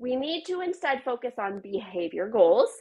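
The speech is very slow with very wide pitch swings over a quiet background. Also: woman. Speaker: registered dietitian and nutrition coach; nutrition coach. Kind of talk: live stream talk to viewers. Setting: live video from home office. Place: home room. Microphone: unstable internet connection, brief disruption; earbuds.

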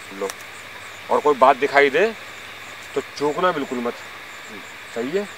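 Noticeable background noise sits under a dry sound with no echo. A man talks at a moderate pace. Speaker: ghost-hunt vlogger. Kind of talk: casual vlog chat. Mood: earnest, slightly suspenseful. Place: forest. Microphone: camera far.

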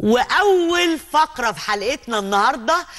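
Her pitch rises and falls over a very wide range. The woman talks very slowly. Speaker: talk show host. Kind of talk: talk show presenting. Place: studio. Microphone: lapel.

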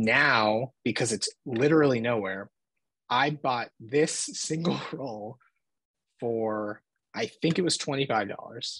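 With ordinary pitch variation, a man talks very slowly over a quiet background. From Philadelphia. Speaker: film photographer; podcast guest. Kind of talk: casual chat. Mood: relaxed, friendly. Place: home room. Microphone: video call.

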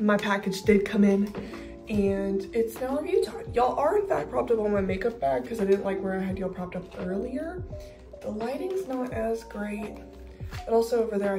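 Clear music sits behind the speech. The woman's delivery is fairly quick. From Texas. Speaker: lifestyle vlogger. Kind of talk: casual vlog talk to camera. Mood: upbeat, relaxed. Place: home room. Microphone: phone near.

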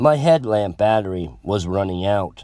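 With a normal speaking voice, a man talks at a fairly slow pace, his fairly low pitch carried by lively intonation. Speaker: horror story narrator. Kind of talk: horror narration, creepypasta read aloud in a tense first-person voice. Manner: suspenseful, hushed and slow, building dread, pausing on short lines.

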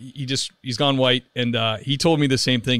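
An ordinary speaking voice from a man at medium pitch, with fairly even intonation. He goes at a fairly quick pace on a very clean recording with a silent background. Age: 40s. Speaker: podcast host. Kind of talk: casual interview chat. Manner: casual with many fillers.

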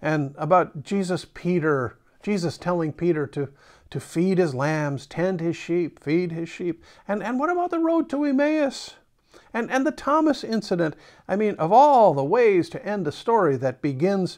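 In a quiet setting, a man speaks at a moderate pace. His pitch swings very widely. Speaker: pastor. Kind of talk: sermon. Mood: reflective, gently conversational. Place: home room. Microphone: lapel.

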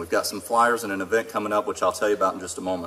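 The speaker is a man. Light background noise can be heard. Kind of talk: public speech. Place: stage. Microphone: podium.

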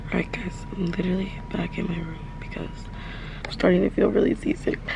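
The sound of this woman's voice is dry with no echo, set against noticeable background noise. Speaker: travel vlogger. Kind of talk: casual vlog chat. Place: home room. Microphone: phone near.

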